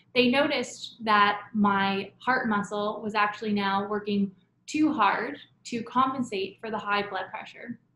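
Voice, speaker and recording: Speaking in a normal speaking voice with a Canadian accent, a woman talks at a fairly slow pace, fairly high in pitch and with fairly even intonation. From Canada, Toronto. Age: 20s. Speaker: patient storyteller. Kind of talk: testimony.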